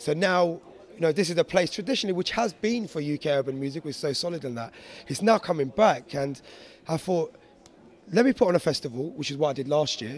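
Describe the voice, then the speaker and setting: Fairly quick and fairly high in pitch, a man with a London accent speaks with lively intonation. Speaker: DJ and producer. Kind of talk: interview.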